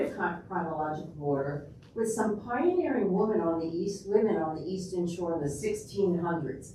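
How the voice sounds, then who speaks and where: A woman with a New York accent talks at a moderate pace and a medium pitch, with ordinary pitch variation and hardly any pauses. Audible room echo and noticeable background noise surround her. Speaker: public health researcher and local history lecturer. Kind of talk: public lecture. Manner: casual, with frequent fillers.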